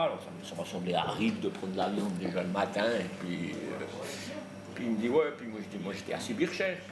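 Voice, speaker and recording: A fairly low-pitched man with ordinary pitch variation, audible room echo and noticeable background noise. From Jura, Switzerland. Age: 60s. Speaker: client of a sports nutritionist. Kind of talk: interview testimony. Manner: hesitant, many fillers.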